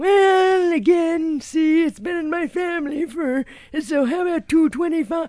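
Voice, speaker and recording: Someone speaks in a put-on character voice at an extremely high pitch and a fairly slow pace. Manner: haggling.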